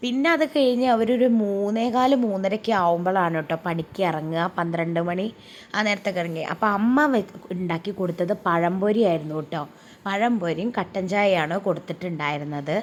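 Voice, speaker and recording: With an ordinary speaking voice, this woman talks at a medium pitch with lively intonation. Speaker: vlogger. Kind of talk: casual vlog narration. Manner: chatty, conversational.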